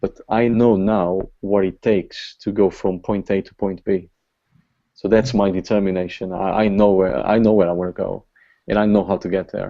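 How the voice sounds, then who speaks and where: A man speaks with a Portuguese accent. His pitch is fairly low and his intonation monotone and flat. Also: moderate pace. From Portugal. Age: 40s. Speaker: online marketing top earner. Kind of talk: motivational talk. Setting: video call.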